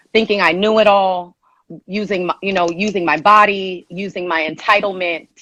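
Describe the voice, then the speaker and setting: Her tone is bright and sharp, at a medium pitch for a woman. She speaks at a moderate pace with monotone, flat intonation. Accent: Southern California. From Los Angeles (Inglewood), California. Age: 30s. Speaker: personal trainer. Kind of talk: live-stream advice call.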